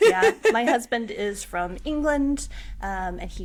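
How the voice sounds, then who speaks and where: Speaking with an American accent, the woman is heard with audible room echo. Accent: American, noticeable to Scottish listeners. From US Pacific Northwest, Washington State. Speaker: witch, tarot reader and coach. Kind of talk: casual interview.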